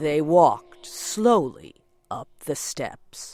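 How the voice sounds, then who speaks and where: Very wide pitch swings in a dry, close sound with no echo, over a very clean recording and silent background. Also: woman. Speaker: storyteller. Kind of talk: reading aloud. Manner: slow.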